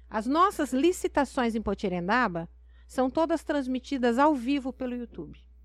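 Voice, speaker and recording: A woman's high-pitched voice, with lively intonation, at a moderate pace. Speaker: mayor. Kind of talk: interview.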